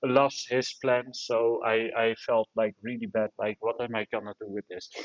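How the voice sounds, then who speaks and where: Speaking at a fairly slow pace, a man talks with a Dutch accent. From Netherlands. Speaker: live audio room host. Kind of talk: casual chat.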